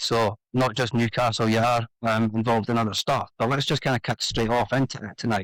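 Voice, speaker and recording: The speech moves at a fairly quick pace in a very clean recording with a silent background and a dry, close sound with no echo. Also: man. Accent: Scottish. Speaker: podcast host. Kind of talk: podcast interview.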